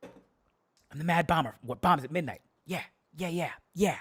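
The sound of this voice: A raspy, strained, put-on character voice sits at a middle pitch and moves at a moderate pace.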